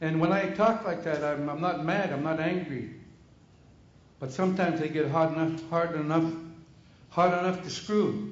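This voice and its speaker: With audible room echo around him, a man speaks at a moderate pace in a fairly high pitch, his intonation fairly even. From Canada, British Columbia (First Nations, Alert Bay). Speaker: First Nations community member. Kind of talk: public meeting comment. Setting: conference room with microphone. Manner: loud.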